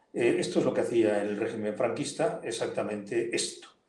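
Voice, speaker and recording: Audible room echo colors the voice. The speaking pace is moderate. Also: man. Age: 70s. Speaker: politician and lawyer. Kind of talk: interview. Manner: animated.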